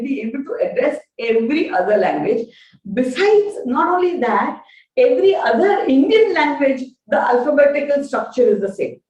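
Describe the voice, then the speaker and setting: A woman with a Gujarati accent talks at a moderate pace in a high voice. Her pitch swings very widely. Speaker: professor. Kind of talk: lecture. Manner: halting, frequent fillers.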